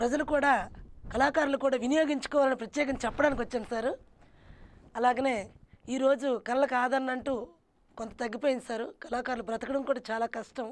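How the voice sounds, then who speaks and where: Her voice is high-pitched with fairly even intonation as the woman speaks. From Srikakulam district, north coastal Andhra Pradesh; Andhra Pradesh. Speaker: burrakatha folk performer; interview guest. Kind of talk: interview. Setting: studio. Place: studio. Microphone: lapel.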